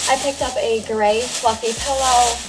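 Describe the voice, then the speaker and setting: The speaker is a woman. Background noise is noticeable. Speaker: first-time vlogger. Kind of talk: casual vlog chat. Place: home room. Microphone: camera far.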